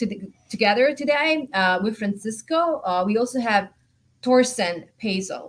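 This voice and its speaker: An enthusiastic woman with an Italian accent speaks at a moderate pace in a fairly high, somewhat breathy voice with lively intonation. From Italy. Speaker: panel moderator. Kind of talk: panel moderation.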